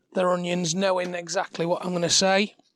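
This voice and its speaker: A man speaks quietly in a high pitch at a moderate pace. His intonation is fairly even, and the sound is dry and close with no echo. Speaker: cooking demo host. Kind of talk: cooking tutorial. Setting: outdoor demo kitchen in front garden. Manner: halting, many fillers.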